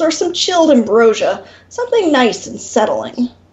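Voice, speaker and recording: In a put-on character voice, a woman growls at a high pitch and a moderate pace. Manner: growling.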